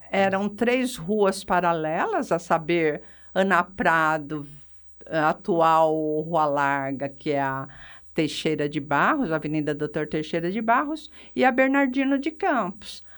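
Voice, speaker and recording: With very wide pitch swings, a woman speaks very slowly at a fairly low pitch in a very clean recording with a silent background. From Brazil, São Carlos (São Paulo state). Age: 60s. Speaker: retired physiotherapist and local historian. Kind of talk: radio interview.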